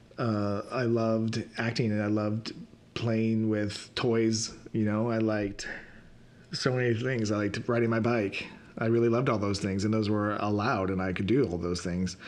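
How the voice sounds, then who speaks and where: A man speaks at a moderate pace in a fairly low, monotone voice with flat intonation. His loudness stays very even, and the room echo is audible. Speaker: podcast host and reiki practitioner. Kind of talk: personal reflective monologue. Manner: halting, stuttering.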